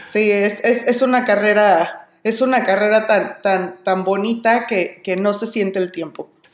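Her pitch is medium, her intonation fairly even, and her pace fairly slow with hardly any pauses. The woman is heard over noticeable background noise. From Mexico. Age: 30s. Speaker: language teacher. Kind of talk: casual chat.

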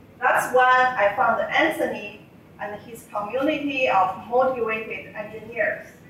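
Amid noticeable background noise, a woman with a Chinese accent speaks at a high pitch with ordinary pitch variation and big swings in loudness. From China. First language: Mandarin Chinese. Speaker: civil engineer. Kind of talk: prepared speech. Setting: stage with audience.

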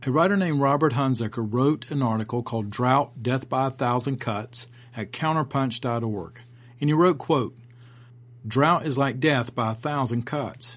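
This is a normal speaking voice with ordinary pitch variation at a moderate pace. The recording is very clean, with a silent background. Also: man, medium pitch for a man. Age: 50s. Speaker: martial arts instructor and podcast host. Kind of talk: podcast commentary.

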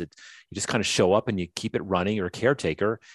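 Talking very fast in an American accent, this speaker uses ordinary pitch variation. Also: man, dry, close sound with no echo. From northern US. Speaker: author and former tech executive. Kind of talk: interview conversation. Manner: halting, frequent restarts.

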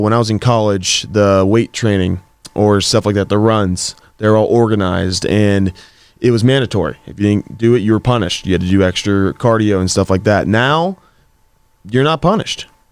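Fairly quick and fairly low, a man talks with an American accent and ordinary pitch variation. His is an unremarkable speaking voice. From Pittsburgh area, Pennsylvania. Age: 20s. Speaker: professional football player. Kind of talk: interview.

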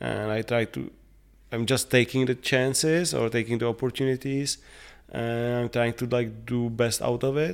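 A man speaks at medium pitch in a Czech accent. The recording is very clean with a silent background. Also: fairly even intonation, moderate pace. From Czech Republic, Prague. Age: 40s. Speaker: painter and sculptor. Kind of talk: interview. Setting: artist's studio. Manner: halting.

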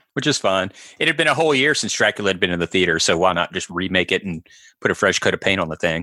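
Very fast, lively male voice, very deep and low yet bright and sharp in tone, dry and close with no echo against a quiet background. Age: 40s. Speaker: film podcast host. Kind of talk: casual chat.

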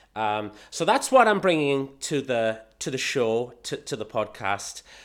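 In a British accent, a man at a medium pitch speaks at a fairly slow pace with very wide pitch swings, recorded very cleanly against a silent background. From England. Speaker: podcast host, pet business marketing consultant. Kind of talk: casual monologue. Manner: animated.

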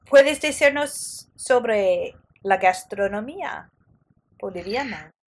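Speaking very slowly with an English accent, a woman uses a high voice and lively intonation. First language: English (speaking Spanish). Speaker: podcast host. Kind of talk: interview.

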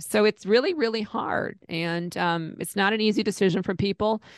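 A woman uses an ordinary speaking voice at medium pitch with ordinary pitch variation, in a dry, close sound with no echo. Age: 50s. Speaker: Medicare insurance agent. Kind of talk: interview.

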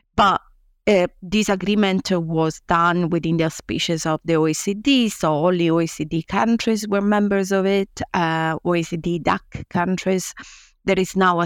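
A woman speaks with fairly even intonation. The sound is dry and close with no echo, on a very clean recording with a silent background. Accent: Italian. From Italy. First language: Italian. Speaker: law professor. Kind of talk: interview.

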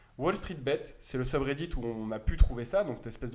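A man speaks in an ordinary speaking voice at a fairly quick pace with ordinary pitch variation. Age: 20s. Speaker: retail stock investor. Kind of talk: casual explanatory chat. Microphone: sound problems in first 20 minutes.

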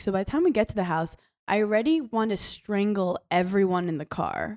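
A woman with an American accent speaks at a medium pitch and a moderate pace, with ordinary pitch variation, in a normal speaking voice. The recording is very clean, with a silent background and a dry, close sound with no echo. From New York. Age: 20s. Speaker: reality TV personality and comedian. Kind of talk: casual chat.

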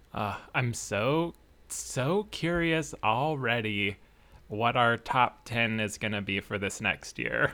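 A man speaks very slowly at a medium pitch, his tone bright and sharp with vocal fry. The recording is very clean, with a silent background. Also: ordinary pitch variation. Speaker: podcast co-host. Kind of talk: casual chat. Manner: laughs often.

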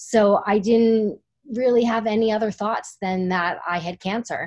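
Over a quiet background, a woman speaks fairly slowly in a normal speaking voice at a fairly high pitch, with ordinary pitch variation. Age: 40s. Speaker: breast cancer survivor and author. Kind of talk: interview testimony.

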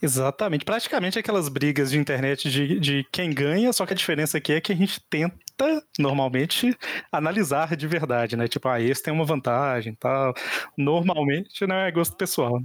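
With a Brazilian accent, a man speaks at a moderate pace and a fairly high pitch, with lively intonation and very even loudness, on a very clean recording with a silent background. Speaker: podcast host. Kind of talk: casual chat.

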